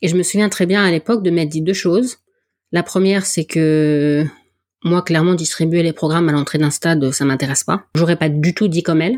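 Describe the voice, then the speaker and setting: A woman speaks at a fairly quick pace in a fairly low pitch with very even loudness, on a very clean recording with a silent background and a dry, close sound with no echo. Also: ordinary pitch variation. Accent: northern French. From northern France. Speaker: podcast host and athletics volunteer. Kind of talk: interview.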